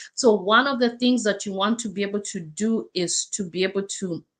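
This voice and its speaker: A woman speaks with an African accent. The background is quiet. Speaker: life coach. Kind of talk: livestream talk. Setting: live stream. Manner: halting.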